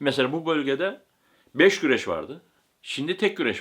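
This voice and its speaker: The voice moves at a fairly slow pace with vocal fry, in a very clean recording over a silent background. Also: man. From Turkey, Aegean (Bodrum area). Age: 60s. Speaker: camel wrestling breeder. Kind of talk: interview answers.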